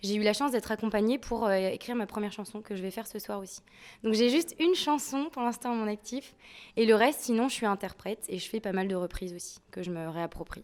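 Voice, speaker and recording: On a very clean recording with a silent background, a woman speaks at a very fast pace and fairly high pitch, with ordinary pitch variation and big swings in loudness. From France, Nantes. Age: 20s. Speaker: soul-folk singer. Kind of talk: interview.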